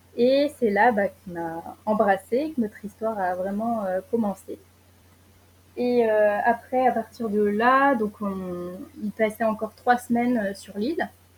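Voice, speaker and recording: Somewhat breathy female speech, fairly high-pitched with ordinary pitch variation, at a very slow pace with long, frequent pauses. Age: 20s. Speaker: traveller sharing experience. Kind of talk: casual interview. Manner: hesitant, many fillers.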